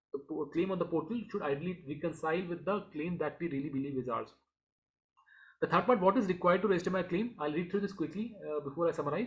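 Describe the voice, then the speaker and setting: This man speaks very fast at a high pitch. His pitch variation is ordinary. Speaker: finance YouTuber. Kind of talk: tutorial. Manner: halting.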